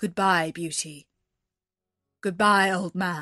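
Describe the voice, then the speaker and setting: A woman's put-on character voice at medium pitch, very slow, over a quiet background. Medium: read story. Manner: stern, formal.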